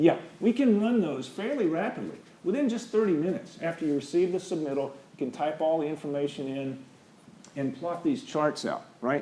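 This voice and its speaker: A man's fairly high voice with lively intonation at a fairly quick pace, amid audible room echo. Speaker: structural engineer. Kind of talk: lecture. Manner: fast.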